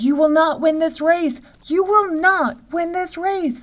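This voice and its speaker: Someone shouts in a put-on character voice at an extremely high pitch and a fairly slow pace. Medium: read story. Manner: shouting, desperate.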